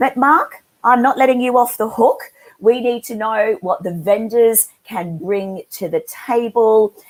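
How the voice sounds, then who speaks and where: In an Australian accent, a woman speaks at a fairly slow pace with ordinary pitch variation. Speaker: webinar moderator, industry analyst. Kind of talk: moderated panel webinar.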